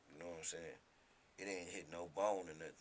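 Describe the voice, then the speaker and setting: Room echo is audible as a man with a very deep, low pitch and a bright, sharp tone speaks at a moderate pace with fairly even intonation. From Detroit, North End. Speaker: rapper. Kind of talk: casual interview, storytelling. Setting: radio studio.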